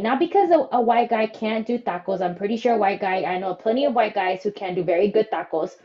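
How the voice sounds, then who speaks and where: A woman talks at a very fast pace and a fairly high pitch in an excited, animated tone. Noticeable background noise is present. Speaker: podcast co-host. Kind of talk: casual chat, interview.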